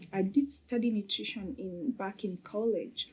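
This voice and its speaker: At a fairly slow pace, a woman with a medium pitch speaks in a somewhat breathy, dark and mellow tone with ordinary pitch variation. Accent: Kenyan. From Kenya. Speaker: mom coach. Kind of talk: podcast interview. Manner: hesitant with many fillers.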